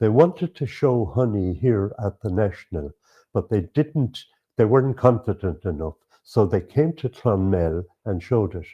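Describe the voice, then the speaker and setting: With an Irish accent, a man talks at a moderate pace in a fairly low, somewhat breathy voice with lively intonation. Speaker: beekeeper and lecturer. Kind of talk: interview. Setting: at a show. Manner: halting.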